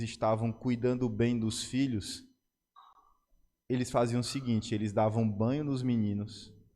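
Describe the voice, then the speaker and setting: A man talks at a moderate pace in a room with audible echo. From Brazil, Ceará. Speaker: pastor. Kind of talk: sermon. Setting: church service.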